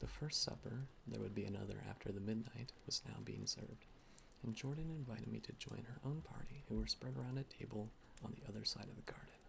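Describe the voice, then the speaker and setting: A man whispers, soft-spoken throughout. His pace is fairly quick. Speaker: ASMR reader. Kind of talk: soft-spoken ASMR book reading. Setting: home recording with ambient rain and fireplace sounds. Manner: soft-spoken, whispered.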